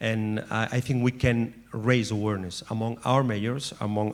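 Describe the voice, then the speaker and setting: Recorded very cleanly with a silent background, a man of medium pitch speaks in a Catalan accent with a monotone, flat intonation. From Catalonia. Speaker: former mayor, network representative. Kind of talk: panel speech. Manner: halting.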